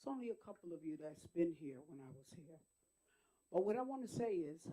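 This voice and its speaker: A woman's dark, mellow tone with lively intonation and an American accent. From Wyandanch, Long Island, New York. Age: 60s. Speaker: retired school district employee, public commenter. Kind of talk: public comment at board meeting. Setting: school board meeting.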